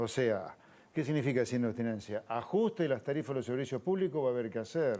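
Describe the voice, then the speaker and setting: This man speaks very fast with an Argentine accent. His tone is dark and mellow, with ordinary pitch variation. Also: medium pitch for a man. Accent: Argentine Spanish (Rioplatense). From Argentina. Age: 60s. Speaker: economist and politician. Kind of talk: TV interview.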